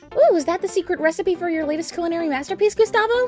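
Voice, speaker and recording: A woman speaks very fast in a squeaky, put-on character voice pitched extremely high, with clear music playing in the background. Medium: cartoon. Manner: bubbly, chatty.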